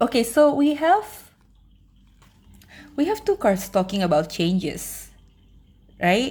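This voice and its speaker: With vocal fry and a fairly high pitch, a woman speaks very slowly, her pitch swinging very widely between long, frequent pauses. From Indonesia. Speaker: tarot reader. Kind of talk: pick-a-card tarot reading. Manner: casual, filler-heavy, repeats words.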